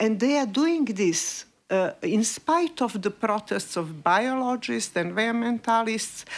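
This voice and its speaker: A woman with a Montenegrin accent, fairly high-pitched, very slow, with very wide pitch swings, on a very clean recording with a silent background. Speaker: investigative journalist. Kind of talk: panel discussion. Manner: halting, many fillers.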